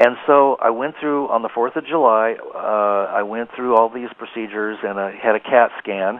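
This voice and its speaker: A man talks at a moderate pace with hardly any pauses and fairly even intonation. Noticeable background noise sits behind him. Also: medium pitch for a man. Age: 60s. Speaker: psychic healer and author. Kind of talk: interview testimony. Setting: internet radio interview.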